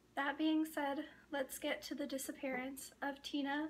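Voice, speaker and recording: In an American accent, a woman talks with a bright, sharp tone. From northern Idaho, Coeur d'Alene Reservation. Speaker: true crime youtuber. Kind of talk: casual monologue to camera. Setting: talking to a camera. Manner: halting, many pauses.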